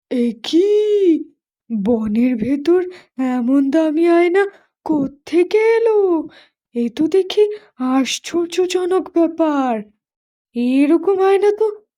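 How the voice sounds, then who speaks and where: A cartoonish character voice at a very slow pace, swinging very widely in pitch. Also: woman. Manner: humble, gentle.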